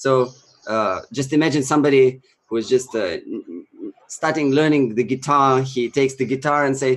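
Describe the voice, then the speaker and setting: Moderate pacing with ordinary pitch variation. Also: man, medium pitch for a man. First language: Russian. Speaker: Sanskrit chanting teacher and musician. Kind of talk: interview talk / casual presentation. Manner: halting, many fillers.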